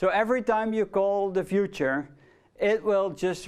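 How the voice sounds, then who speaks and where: Against a quiet background, a man with a Dutch accent talks at a moderate pace. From Netherlands. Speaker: lecturer. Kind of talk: lecture. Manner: casual, with fillers.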